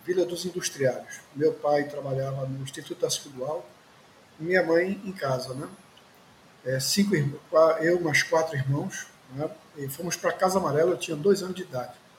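A man with a high pitch talks at a moderate pace with long, frequent pauses over noticeable background noise. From Recife, Pernambuco, Brazil. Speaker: journalist and party activist. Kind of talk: interview testimony. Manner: hesitant fillers.

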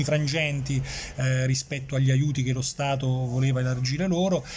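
A man's fairly high, monotone and flat voice amid noticeable background noise and audible room echo. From Campania, Irpinia (family roots; born in Switzerland). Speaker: journalist. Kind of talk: casual interview. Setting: café. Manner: hesitant, with frequent repetitions.

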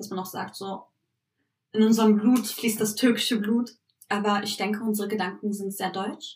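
This somewhat breathy voice holds a monotone, flat intonation at a moderate pace, with big swings in loudness and long, frequent pauses. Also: woman, fairly high pitch for a woman. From Berlin, Germany (Turkish family). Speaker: podcast co-host. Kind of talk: casual chat.

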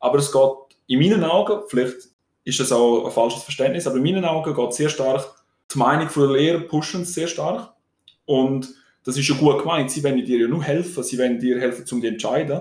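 This man's voice is somewhat breathy and fairly high in pitch. He talks at a fairly quick pace with ordinary pitch variation. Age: 20s. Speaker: student podcaster. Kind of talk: casual chat.

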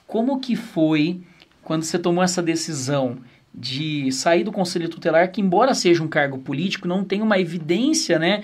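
A man's high-pitched voice with lively intonation at a moderate pace, with audible room echo. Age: 20s. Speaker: podcast co-host, pastor. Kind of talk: interview chat.

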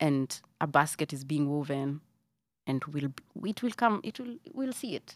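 A woman with a Kenyan accent and a very deep, low pitch speaks at a moderate pace in an animated tone, in a very clean recording with a silent background and a dry, close sound with no echo. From Kenya, Nairobi. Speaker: singer and actress. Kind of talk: casual chat.

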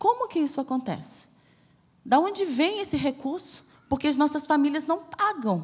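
At a moderate pace, a woman talks in a high pitch that swings very widely. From Bahia, Brazil (Salvador). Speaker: missionary preacher. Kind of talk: sermon. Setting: church.

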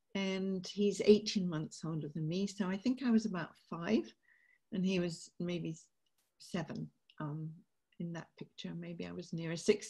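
The speaker talks at a fairly slow pace with long, frequent pauses and big swings in loudness, somewhat breathy in a dark, mellow tone with ordinary pitch variation. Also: woman, medium pitch for a woman. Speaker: peace campaigner and author. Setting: video call.

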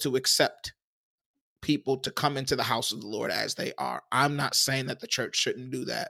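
In a very clean recording with a silent background and a dry, close sound with no echo, a man's voice comes across bright and sharp. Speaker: pastor. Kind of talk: casual chat.

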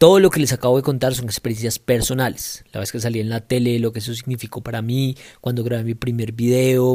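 On a very clean recording with a silent background, a man speaks at medium pitch with a dark, mellow tone. His pace is moderate and his intonation fairly even. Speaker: politician and podcast host. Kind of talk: personal monologue.

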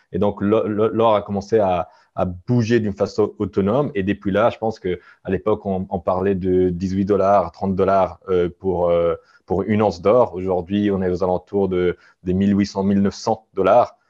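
The man speaks at a fairly slow pace in a fairly low pitch. His intonation is monotone and flat. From Italian-speaking Switzerland. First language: Italian (speaking French). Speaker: gold company executive. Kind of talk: interview. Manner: halting.

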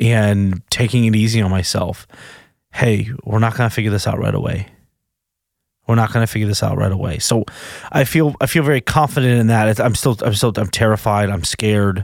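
A man speaks at a fairly quick pace in a fairly low voice, his loudness very even and his pitch varying in an ordinary way. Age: 30s. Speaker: podcast host, recovering sex addict. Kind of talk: personal monologue. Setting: studio. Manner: halting.

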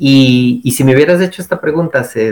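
Here a man talks at a fairly quick pace. His voice sits fairly high, with ordinary pitch variation. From Costa Rica. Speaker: forest engineer and researcher. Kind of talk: interview. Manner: halting, with many repetitions and fillers.

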